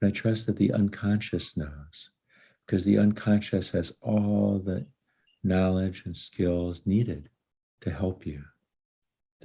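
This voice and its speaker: Against a quiet background, a man with a very deep, low voice speaks at a fairly slow pace in a soothing, calm tone that is dark, mellow and somewhat breathy, with ordinary pitch variation and long, frequent pauses. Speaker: licensed psychologist conducting hypnosis sessions. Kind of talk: guided hypnosis session. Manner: slow, soothing, calm.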